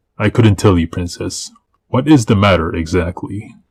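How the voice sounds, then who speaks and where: A man's put-on character voice, fairly low in pitch, with lively intonation, a moderate pace and a dry, close sound with no echo. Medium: read story. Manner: polite, deadpan.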